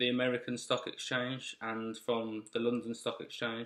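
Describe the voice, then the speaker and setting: A man in a Birmingham accent, medium in pitch, monotone and flat, at a fairly slow pace. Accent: Birmingham (Brummie). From Birmingham, England. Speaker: investing channel host, military serviceman. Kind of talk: casual vlog explanation. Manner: halting, with fillers and restarts.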